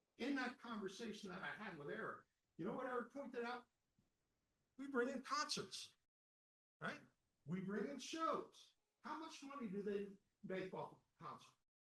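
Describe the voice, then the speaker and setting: With an animated tone and lively intonation, the bright, sharp voice is raised and projected, broken by long, frequent pauses. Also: man, extremely high pitch for a man, moderate pace. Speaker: candidate at association election forum. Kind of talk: candidate forum answer. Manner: loud.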